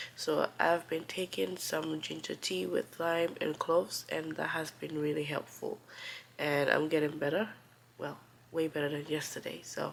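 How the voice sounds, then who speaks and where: A woman talks at a moderate speed. Background noise is noticeable behind her. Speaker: immigrant vlogger. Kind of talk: casual talk to camera. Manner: cozy, relaxed.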